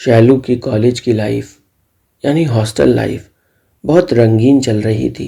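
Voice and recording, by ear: Pitch varies in an ordinary way as a natural voice reads aloud. All is quiet in the background.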